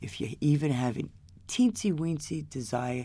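A woman's very deep, low voice sits in a very clean recording against a silent background. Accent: New York. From New York, Queens. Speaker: addict in recovery. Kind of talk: personal testimony. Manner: halting.

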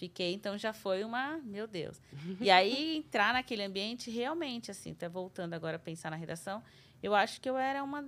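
A woman with an ordinary speaking voice talks at medium pitch and a moderate pace with lively intonation. The recording is very clean with a silent background. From Brazil, São Paulo city. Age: 30s. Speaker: TV journalist. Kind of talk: casual interview.

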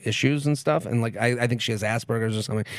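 A man with an American accent at a medium pitch and a very fast pace. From Boston area, Massachusetts. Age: 30s. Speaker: comedian and podcaster. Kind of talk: casual chat.

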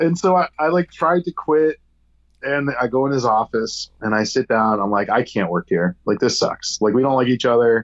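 A plain, everyday voice from a man with an American accent, medium pitch, lively intonation, moderate pace and very even loudness, dry and close with no echo. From upstate New York. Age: 40s. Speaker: brewery owner. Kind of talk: casual chat. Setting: remote call.

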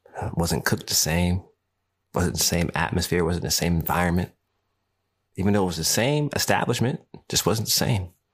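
With a very deep, low pitch and lively intonation, a man talks at a fairly quick pace, broken by long, frequent pauses, on a very clean recording with a silent background. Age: 30s. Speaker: podcast host. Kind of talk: solo monologue podcast. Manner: animated.

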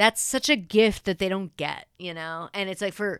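A woman with an American accent and a normal speaking voice, medium pitch, moderate pace, dry and close sound with no echo. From Texas, Persian family. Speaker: TV writer. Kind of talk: casual chat.

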